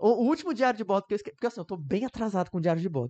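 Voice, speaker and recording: Over a quiet background, a man's voice makes very wide pitch swings, recorded with a dry, close sound and no echo. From Rio de Janeiro metro area, Brazil (Duque de Caxias). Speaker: medical student. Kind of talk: casual chat. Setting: live streamed podcast.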